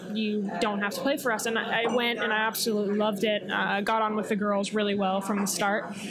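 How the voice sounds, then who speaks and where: Someone with an American accent speaks very fast, with hardly any pauses, in a monotone, flat delivery at very even loudness. Noticeable background noise and audible room echo surround the voice. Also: woman, medium pitch for a woman. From Colorado, US. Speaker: professional footballer and podcast host. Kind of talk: casual chat. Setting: coffee house.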